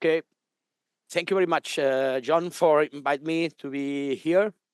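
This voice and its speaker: In a dry, close sound with no echo, a man speaks with a non-native accent. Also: fairly high pitch for a man, fairly even intonation. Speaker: arboriculture consultant. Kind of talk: lecture. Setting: live online webinar. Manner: fast; halting.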